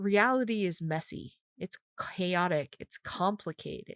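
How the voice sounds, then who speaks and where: Recorded very cleanly against a silent background, a woman speaks with lively intonation. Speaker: podcast host, priestess. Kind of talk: casual chat. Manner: sometimes halting, forgets words.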